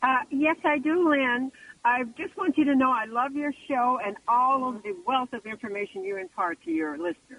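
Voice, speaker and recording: Lively intonation at a moderate pace. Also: woman, high pitch for a woman. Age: 70s. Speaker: caller, small travel business owner. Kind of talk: call-in question.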